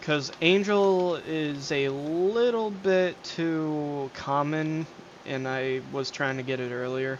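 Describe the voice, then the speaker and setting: A man with a fairly high voice speaks at a very slow pace in a relaxed tone, with ordinary pitch variation and audible room echo. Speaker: gaming streamer. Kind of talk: casual gameplay commentary. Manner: hesitant, many fillers.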